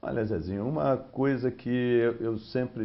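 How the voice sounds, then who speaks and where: At a moderate pace, a man talks in a medium pitch. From Brazil, Rio de Janeiro. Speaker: steel company executive, engineer. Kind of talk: TV interview.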